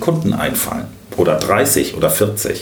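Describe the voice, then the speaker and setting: With audible room echo and noticeable background noise, a man speaks at a medium pitch, his voice swinging very widely in pitch. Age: 50s. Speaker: sales expert. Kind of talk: interview.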